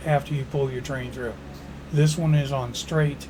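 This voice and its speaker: With audible room echo and noticeable background noise, a man speaks at a moderate pace, medium in pitch and fairly even in intonation. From Chicago area, US Midwest. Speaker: gaming YouTuber, former railroad worker. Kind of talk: game tutorial. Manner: casual, folksy.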